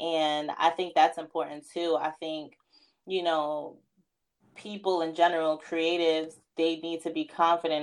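With a New York accent, the speaker goes at a fairly slow pace in a monotone, flat delivery. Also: woman, quiet background. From New York, Queens (Far Rockaway). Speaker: fashion stylist and editor. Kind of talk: casual interview chat.

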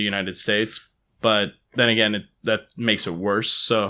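A man with a Californian accent speaks at a moderate pace in a bright, sharp tone. The recording is very clean, with a silent background. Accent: Californian American. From Palo Alto, California. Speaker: guest. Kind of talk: casual chat.

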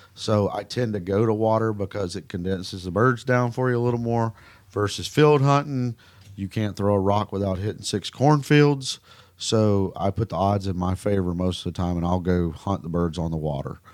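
In a Southern accent, a man speaks at a fairly low pitch with ordinary pitch variation and a moderate pace. The recording is very clean, the background silent. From Mississippi. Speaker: duck hunting guide and outfitter. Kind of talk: casual interview.

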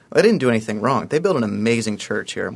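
A man with an American accent at a very fast pace. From Ohio (Columbus). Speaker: fundraising campaign consultant. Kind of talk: radio interview.

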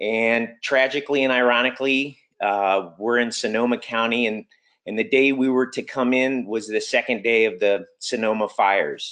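A man's normal speaking voice at a medium pitch and moderate pace, with fairly even intonation, very even loudness and a quiet background. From US (Army brat, moved around). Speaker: public school teacher and climate campaigner. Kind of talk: webinar presentation. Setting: video call.

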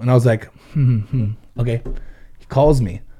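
Somewhat breathy, with a dark, mellow tone, a man with an American accent speaks at a medium pitch and ordinary pitch variation. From Ventura, California. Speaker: business owner and guest. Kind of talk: casual chat.

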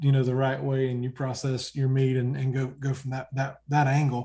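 At a moderate pace, the speaker sounds somewhat breathy. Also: man. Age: 40s. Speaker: hunting TV show host. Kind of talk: casual chat.

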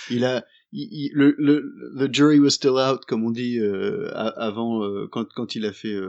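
A man at medium pitch with lively intonation and a very slow pace. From partly Indonesia. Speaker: podcast co-host. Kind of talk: casual chat.

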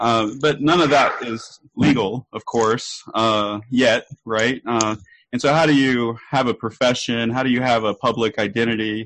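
A plain, everyday voice with fairly even intonation comes through with a dry, close sound with no echo. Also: man, medium pitch for a man. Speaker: researcher and event organizer. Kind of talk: casual interview chat. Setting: video call.

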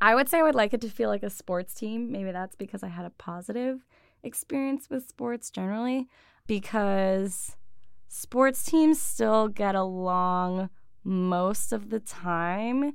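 A woman's plain, everyday voice with an American accent, medium in pitch with ordinary pitch variation, at a fairly slow pace, on a very clean recording with a silent background. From western New York (Buffalo suburbs). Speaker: career coach. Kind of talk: interview conversation.

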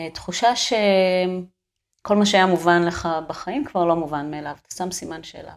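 Speaking at a moderate pace with hardly any pauses, a woman uses an ordinary speaking voice at medium pitch, with ordinary pitch variation and big swings in loudness. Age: 40s. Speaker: sculptor and art teacher. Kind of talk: casual interview conversation.

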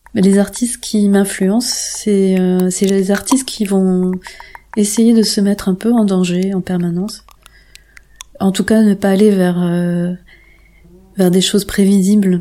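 Noticeable background noise surrounds a woman speaking at a very slow pace with long, frequent pauses. Her medium-pitched voice stays monotone, with flat intonation. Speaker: sound artist and composer. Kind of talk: interview. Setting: radio interview. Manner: halting, many repetitions.

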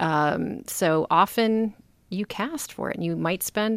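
In a very clean recording with a silent background, a woman speaks with vocal fry and ordinary pitch variation, the sound dry and close with no echo. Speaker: filmmaker and film series curator. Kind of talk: casual chat.

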